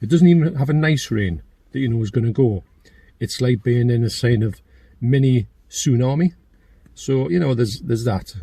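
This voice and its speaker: With a Geordie accent, a man talks at a moderate pace, leaving long, frequent pauses. His medium-pitched voice is somewhat breathy, dark and mellow in tone, with lively intonation. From northeast England (Geordie). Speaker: YouTuber, channel owner. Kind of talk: casual chat. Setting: in a car.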